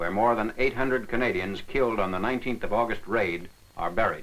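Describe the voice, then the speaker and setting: At a fairly quick pace, a man speaks in an ordinary speaking voice, medium in pitch with ordinary pitch variation. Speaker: newsreel narrator. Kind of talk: wartime newsreel narration.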